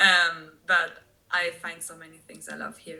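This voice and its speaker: With a German accent, a woman speaks at a fairly slow pace. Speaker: expat tour guide. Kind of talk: podcast interview.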